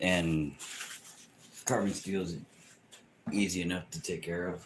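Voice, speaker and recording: A man talks quietly and fairly slowly in a very deep, low pitch. His intonation stays fairly even. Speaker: bladesmith livestreamer. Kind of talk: casual livestream chat. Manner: quiet talker.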